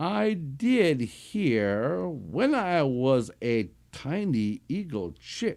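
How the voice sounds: The speaker uses a natural reading voice.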